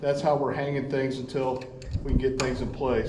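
Audible room echo and light background noise surround a man speaking at a moderate pace. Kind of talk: casual vlog chat. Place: workshop. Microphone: camera far.

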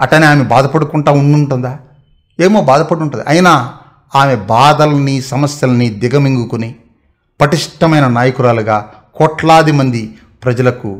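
A man speaks at a fairly high pitch with ordinary pitch variation and very even loudness over a quiet background. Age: 30s. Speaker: YouTube motivational talker. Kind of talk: motivational monologue. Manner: halting. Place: home room. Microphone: camera far.

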